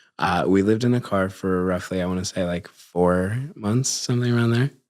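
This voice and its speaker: A man with an unremarkable speaking voice, pitched fairly low. He talks at a fairly quick pace with ordinary pitch variation. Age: 20s. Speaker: podcast host and content creator. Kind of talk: casual chat. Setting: studio.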